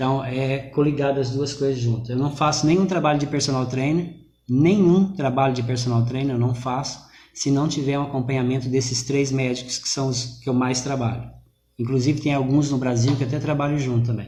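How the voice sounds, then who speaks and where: Soft-spoken and somewhat breathy, a man with a dark, mellow tone talks at a fairly quick pace with fairly even intonation amid audible room echo. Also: medium pitch for a man. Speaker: personal trainer, business owner. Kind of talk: live online interview. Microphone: too quiet.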